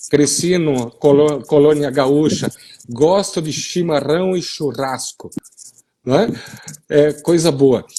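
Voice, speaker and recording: A man's dark, mellow voice, fairly high-pitched for a man, with ordinary pitch variation, a very slow pace, and long, frequent pauses. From western Paraná, Brazil (gaúcho colony). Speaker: soil science professor. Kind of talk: live-stream discussion. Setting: online live stream.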